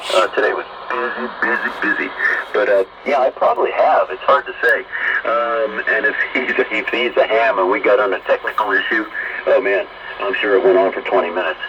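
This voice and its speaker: A man speaking at a fairly quick pace over noticeable background noise. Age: 60s. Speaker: ham radio operator. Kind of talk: casual radio conversation.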